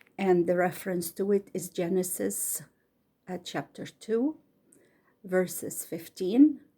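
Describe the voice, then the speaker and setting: A woman with an Egyptian accent speaks at medium pitch in a dark, mellow tone, with lively intonation. Her pace is very slow, with long, frequent pauses. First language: Arabic. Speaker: bedtime story reader. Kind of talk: casual introduction; reading aloud. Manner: careful, slightly halting reading.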